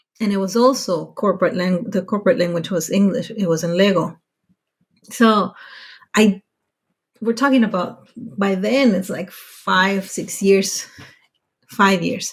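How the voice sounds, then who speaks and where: A woman with an American accent speaks at a fairly slow pace and medium pitch, somewhat breathy. Her pitch variation is ordinary, and she leaves long, frequent pauses. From Mexico, US border town. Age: 40s. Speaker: podcast guest, working mother abroad. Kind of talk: casual interview chat. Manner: halting, many restarts.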